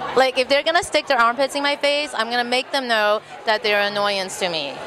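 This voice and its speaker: Crowd noise fills the background as an animated voice speaks at a fairly quick pace with lively intonation. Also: woman, high pitch for a woman. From Texas, with early years in Taiwan and Bolivia. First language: Mandarin Chinese. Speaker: burlesque performer and show producer. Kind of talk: casual interview.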